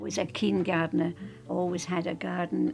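With a Scottish accent, a woman talks while clear music plays in the background. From Scotland. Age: 80s+. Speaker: painter. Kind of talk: interview answer. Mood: warm, reminiscing. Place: home room.

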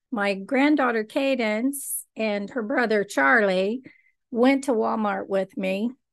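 A very slow pace against a quiet background. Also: woman. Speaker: vlogger. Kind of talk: casual vlog chat. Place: home room. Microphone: studio mic.

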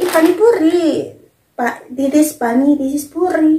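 In a room with audible echo but a quiet background, a woman speaks at a very slow pace. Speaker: food vlogger. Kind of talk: casual vlog chat. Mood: playful, unsure of names. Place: home room. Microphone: camera far.

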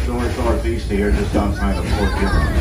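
A man speaks fairly quickly against noticeable background noise. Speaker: train conductor guide. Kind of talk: tour narration. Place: train.

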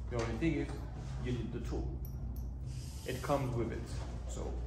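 A man's voice over noticeable background noise. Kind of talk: tutorial. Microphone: camera far.

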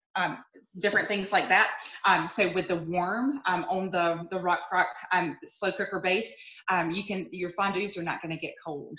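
Against a quiet background with audible room echo, a woman talks at a moderate pace with fairly even intonation. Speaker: direct sales cooking consultant. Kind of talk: product demonstration. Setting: video call. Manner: casual, with many fillers. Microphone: video call.

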